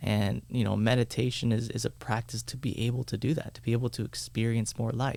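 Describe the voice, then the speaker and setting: Speaking at a fairly quick pace with hardly any pauses, a man uses a monotone, flat intonation marked by vocal fry. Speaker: meditation teacher. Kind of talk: casual chat.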